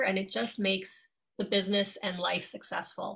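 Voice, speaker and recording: A woman with an American accent speaks at medium pitch. Her tone is bright and sharp. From New York, with years in Dublin, Ireland. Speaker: attorney and law firm owner. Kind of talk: interview.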